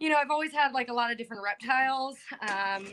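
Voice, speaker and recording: A woman's high, bright and sharp voice over light background noise. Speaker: remote guest. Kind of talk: interview answer. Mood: cheerful, passionate. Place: open country. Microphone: video call.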